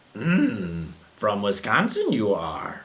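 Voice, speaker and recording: The speaker puts on a low-pitched character voice. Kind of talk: inverted word order.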